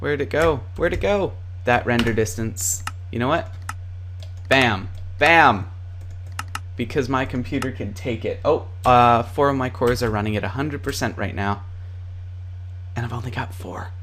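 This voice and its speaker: The speech moves at a moderate pace with long, frequent pauses. Noticeable background noise is present. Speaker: gaming tutorial youtuber. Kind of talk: tutorial. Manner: casual, with many fillers.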